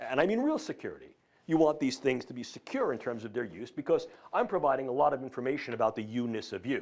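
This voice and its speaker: A man with a New York accent, medium-pitched, talking very fast with lively intonation, on a very clean recording against a silent background. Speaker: professor. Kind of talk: lecture.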